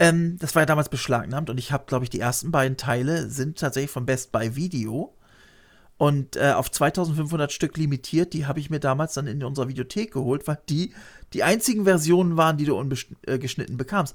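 Fairly high in pitch and somewhat breathy, a man's voice moves at a fairly quick pace with ordinary pitch variation. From Lower Saxony, Germany. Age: 50s. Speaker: YouTuber. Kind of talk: casual interview.

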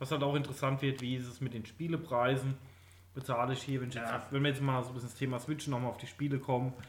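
Very fast and somewhat breathy, a man talks at medium pitch in a monotone, flat delivery. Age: late 20s. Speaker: podcast co-host, gamer. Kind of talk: casual chat.

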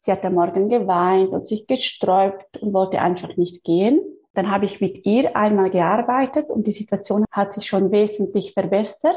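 With a dark, mellow tone, a woman speaks at medium pitch and a moderate pace with ordinary pitch variation. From Switzerland. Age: 30s. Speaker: physiotherapist and energy healer. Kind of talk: interview.

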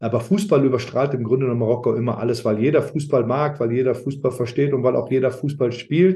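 The speech moves at a fairly quick pace with hardly any pauses. The voice is somewhat breathy. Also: man, medium pitch for a man, ordinary pitch variation. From Germany, Rhineland near Aachen (Alsdorf). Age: 50s. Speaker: former footballer, sporting director. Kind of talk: interview. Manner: halting, many fillers.

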